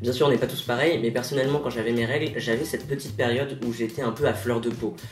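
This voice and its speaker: Music plays in the background as a man speaks at a very fast pace amid audible room echo. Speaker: transgender vlogger. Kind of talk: personal video diary. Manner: casual, conversational.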